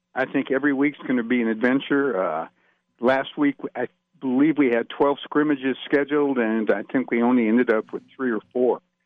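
A man with a plain, everyday voice speaks at a fairly quick pace, his medium pitch held in fairly even intonation. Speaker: sports officials executive. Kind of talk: radio interview.

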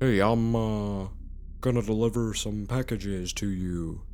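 Using a put-on character voice, a man speaks at a moderate pace and a fairly low pitch against clear background noise. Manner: affected, exaggerated.

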